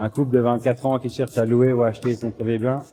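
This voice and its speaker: Speaking fairly quickly with a slight Belgian accent, a man has a dark, mellow tone, medium pitch and fairly even intonation. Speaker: software company manager presenting at a trade fair. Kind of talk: business presentation. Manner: hesitant, many fillers and repetitions.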